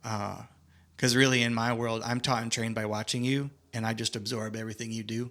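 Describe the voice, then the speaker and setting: A man talks fairly quickly in an American accent, his medium-pitched voice monotone and flat. The recording is very clean, with a silent background. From Michigan, US Midwest. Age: 40s. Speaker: ministry leader and mentor. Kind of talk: casual podcast conversation.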